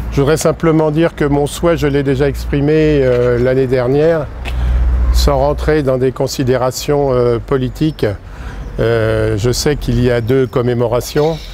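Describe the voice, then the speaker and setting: Against noticeable background noise, a man with a medium pitch talks at a fairly slow pace with fairly even intonation. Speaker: war veteran. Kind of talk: impromptu ceremony speech. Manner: halting.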